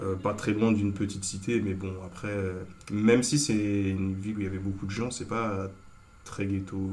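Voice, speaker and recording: A man speaks in a fairly low, monotone, flat voice at a moderate pace, with long, frequent pauses. Audible room echo and noticeable background noise are present. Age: 20s. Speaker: student. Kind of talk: casual chat.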